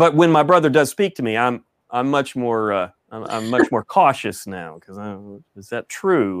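A man in a Texan accent speaks at a moderate pace, his pitch swinging very widely and his loudness shifting a lot. The recording is very clean and dry, close, with no echo and a silent background. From East Texas. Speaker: author and pastor. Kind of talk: casual interview. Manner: halting, many fillers.

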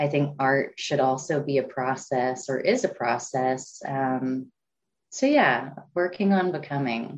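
Speaking at a fairly slow pace, a woman with an American accent has a very deep, low pitch and ordinary pitch variation. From Oklahoma, Pawhuska. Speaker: artist and community organizer. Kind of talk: casual interview. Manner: hesitant, many fillers.

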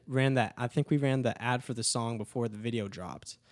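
A plain, everyday voice with an American accent, a moderate pace and fairly even intonation. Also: man. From Texas (Dallas). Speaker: musician and video creator. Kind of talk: casual chat.

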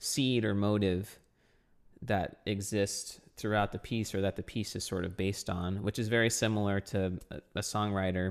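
Here is a plain, everyday voice with an American accent, fairly even intonation and a moderate pace. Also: man. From South Texas. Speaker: percussionist and composer. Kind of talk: interview.

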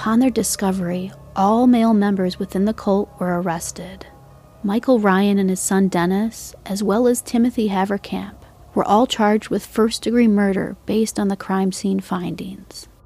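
A woman speaks at a moderate pace. Behind her voice, music is playing. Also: medium pitch for a woman, fairly even intonation. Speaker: true crime podcast host. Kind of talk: true-crime narration, scripted.

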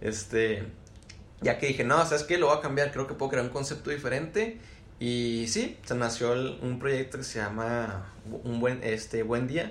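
In a room with audible echo, a man speaks at medium pitch and a fairly slow pace, with ordinary pitch variation. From Mexico, Chihuahua. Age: 20s. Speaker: community manager. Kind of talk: casual chat.

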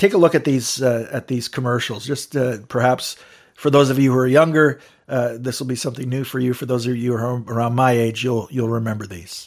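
A man at a fairly quick pace, medium in pitch, with fairly even intonation. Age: 50s. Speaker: podcast host. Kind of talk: solo commentary podcast. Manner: halting, many fillers.

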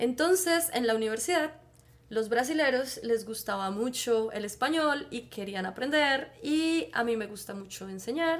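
A woman's high-pitched voice in a Bogotá accent, fairly slow in pace with lively intonation, in a very clean recording with a silent background. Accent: Bogotá Colombian Spanish. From Colombia, Bogotá. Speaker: biologist and Spanish teacher. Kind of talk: casual chat.

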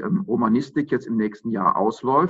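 An ordinary speaking voice from a man, medium in pitch, with lively intonation. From Germany, Aachen. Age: 50s. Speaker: mayoral candidate, lawyer. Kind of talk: interview. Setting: video call.

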